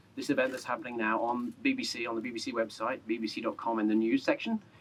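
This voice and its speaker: A man speaks at a very fast pace in an English accent. Noticeable background noise accompanies him. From England. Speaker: journalist. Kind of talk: public speech at memorial dedication. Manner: raised voice, talking without microphone.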